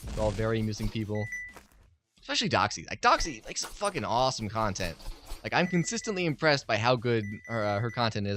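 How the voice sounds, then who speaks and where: A man talks at a very fast pace in a medium pitch with lively intonation, music playing in the background. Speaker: game developer and YouTube gamer. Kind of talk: let's play commentary. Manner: casual, hesitant with fillers.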